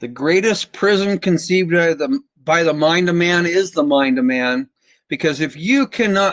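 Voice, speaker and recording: A man's high-pitched voice with an American accent, lively intonation and a fairly slow pace, dry and close with no echo on a very clean recording against a silent background. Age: 60s. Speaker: presenter on constitutional rights. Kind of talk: lecture.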